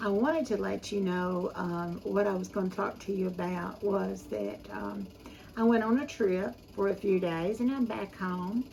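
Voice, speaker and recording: There is noticeable background noise. A woman talks through it at a moderate pace. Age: 70s. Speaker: home cooking YouTuber. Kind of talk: casual chat. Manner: halting.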